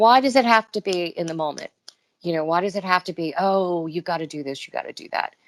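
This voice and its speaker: A woman at a medium pitch, fairly quick and lively, with big swings in loudness, in a dry, close sound with no echo on a very clean recording with a silent background. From Washington DC area. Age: 50s. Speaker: actress. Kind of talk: interview. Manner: animated.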